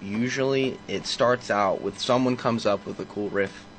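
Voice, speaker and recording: The speech has ordinary pitch variation. Noticeable background noise runs underneath. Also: man. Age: 20s. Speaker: band vocalist. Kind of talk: casual interview chat. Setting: radio studio.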